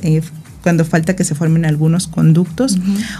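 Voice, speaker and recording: A woman with a fairly low pitch talks while noticeable background noise carries on. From Mexico, Morelos (born in Guerrero). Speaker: gynecologist and reproductive biologist. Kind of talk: radio interview, medical explanation.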